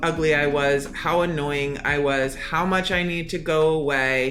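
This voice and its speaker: A woman speaks with ordinary pitch variation. The room echo is audible, and background noise is noticeable. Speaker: anonymous podcast guest sharing personal story. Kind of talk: personal testimony. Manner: loud.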